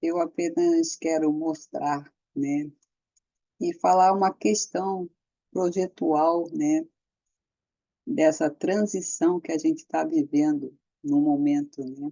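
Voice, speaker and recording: A woman talks at a very slow pace, pausing often and at length. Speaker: architect. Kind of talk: casual talk to camera.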